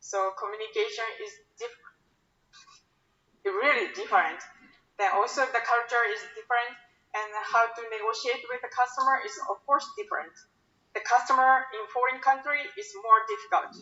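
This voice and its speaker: A woman's high voice in a Japanese accent, lively intonation, big swings in loudness, moderate pace, and long, frequent pauses. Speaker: sales account manager. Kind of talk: invited talk. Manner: halting.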